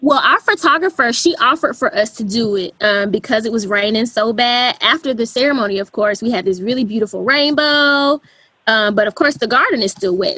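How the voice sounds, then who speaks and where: A woman with a Southern US accent talks at a fairly quick pace and fairly high pitch, with hardly any pauses. Her intonation is lively. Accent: Southern twang. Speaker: wedding photographer. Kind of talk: podcast interview.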